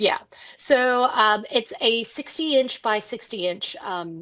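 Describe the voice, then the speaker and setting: The background is quiet as a woman speaks in an Australian accent. Her intonation is lively. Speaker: quilt designer. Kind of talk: tutorial.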